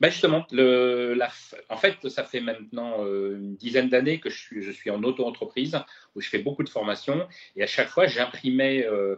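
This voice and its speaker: A man speaks at medium pitch and a moderate pace with ordinary pitch variation. His loudness swings widely. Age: 60s. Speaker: chef and cooking trainer. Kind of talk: interview. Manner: halting.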